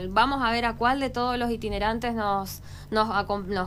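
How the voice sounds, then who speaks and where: The speech moves at a moderate pace. Audible room echo surrounds it. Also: woman. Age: 30s. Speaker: local political candidate. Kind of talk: radio interview.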